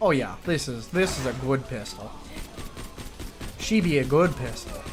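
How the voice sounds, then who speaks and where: A man with a slight Midwestern accent at a fairly high pitch and moderate pace, amid noticeable background noise and audible room echo. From US Midwest. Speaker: video game streamer. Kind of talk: casual gaming chat.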